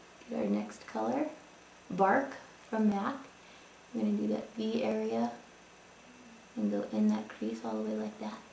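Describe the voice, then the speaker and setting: A woman speaks with long, frequent pauses. Background noise is noticeable, and the room echo is audible. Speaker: makeup tutorial vlogger. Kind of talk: tutorial. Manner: fast.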